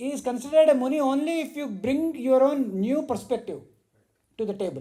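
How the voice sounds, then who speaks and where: With a dark, mellow tone, a man speaks at an extremely high pitch with ordinary pitch variation. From India. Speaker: spiritual teacher. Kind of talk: religious discourse. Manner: loud.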